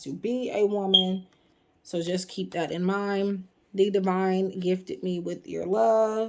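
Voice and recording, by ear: Fairly even intonation marks this reading aloud in a natural voice.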